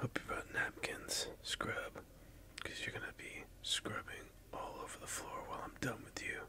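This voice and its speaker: Whispering, a man speaks at a fairly slow pace. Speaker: streamer or content creator. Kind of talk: playful trash talk while playing a game on camera. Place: home room.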